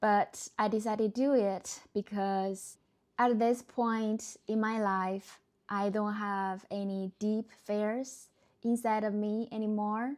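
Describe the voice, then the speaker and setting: A woman speaks at a very slow pace. Her pitch is fairly high. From China. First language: Chinese. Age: 30s. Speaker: vlogger and entrepreneur. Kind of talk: personal reflection to camera. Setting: recorded to camera. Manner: slightly hesitant, uncomfortable on camera.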